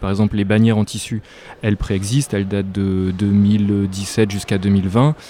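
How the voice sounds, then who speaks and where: At a moderate speed, a man talks with a fairly low pitch. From northern France (near Lille). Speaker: visual artist. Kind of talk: interview. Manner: hesitant, many fillers.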